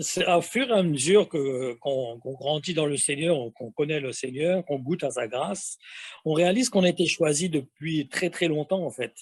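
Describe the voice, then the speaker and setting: Using lively intonation, a man speaks at a moderate pace and fairly high pitch. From metropolitan France. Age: 60s. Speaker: testimony guest. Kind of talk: testimony. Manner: halting, many hesitations.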